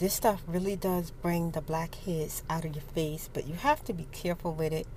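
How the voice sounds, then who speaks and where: Soft-spoken, a woman talks at a fairly low pitch. Noticeable background noise runs behind her. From United States. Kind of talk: casual storytime chat to camera.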